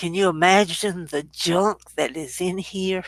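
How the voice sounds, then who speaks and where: At a very slow pace, a woman speaks at a medium pitch on a very clean recording with a silent background. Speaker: grandmother sharing life story. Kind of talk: casual chat.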